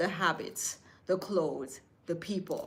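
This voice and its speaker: This woman speaks at a very slow pace. Her pitch is medium, with ordinary variation. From Jamaica. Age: 60s. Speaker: lifestyle vlogger and seamstress. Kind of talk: casual motivational talk to camera. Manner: animated.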